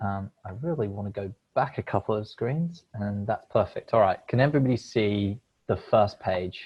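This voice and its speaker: Pitch moves in an ordinary way. There is a somewhat breathy quality to the voice. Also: man, fairly low pitch for a man, moderate pace. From United Kingdom. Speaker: crowdfunding platform representative. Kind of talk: presentation.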